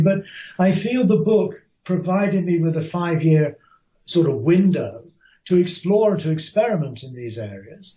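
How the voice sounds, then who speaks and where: With lively intonation, a man talks at a moderate pace in a somewhat breathy voice. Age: 60s. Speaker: author and Buddhist scholar. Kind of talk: interview. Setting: podcast interview. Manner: thoughtful, with hesitations.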